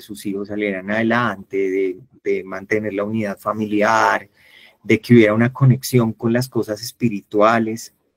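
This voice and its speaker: This man has a plain, everyday voice at a medium pitch, speaking at a fairly slow pace. The sound is dry and close, with no echo. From Colombia, Valle del Cauca. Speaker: workshop facilitator. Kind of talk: online workshop talk.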